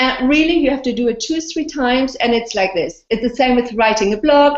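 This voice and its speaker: Moderate pacing and lively intonation in a woman's high voice. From Austria. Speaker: blogger and video interviewer. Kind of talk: casual interview. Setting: video call. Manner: animated.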